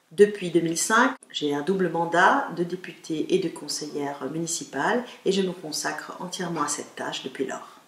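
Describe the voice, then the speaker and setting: At a moderate pace with hardly any pauses, a woman with a fairly low pitch uses lively intonation over noticeable background noise. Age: 50s. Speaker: local politician. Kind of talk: campaign statement. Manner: formal.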